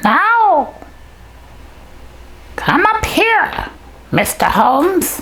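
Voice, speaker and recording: A cartoonish character voice at an extremely high pitch and a very slow pace, with long, frequent pauses over light background noise. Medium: puppet.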